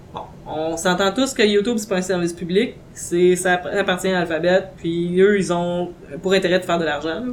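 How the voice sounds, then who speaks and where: A woman speaks at a moderate pace with a Quebec accent. Her pitch sits in the middle range and rises and falls in an ordinary way. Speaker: podcast host. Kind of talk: casual chat.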